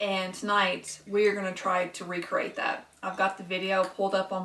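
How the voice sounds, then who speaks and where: Medium pitch and monotone, flat intonation from a woman in a Kentucky accent, at a moderate pace, with noticeable background noise. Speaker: cooking vlogger. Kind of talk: cooking tutorial. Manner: casual, with filler words.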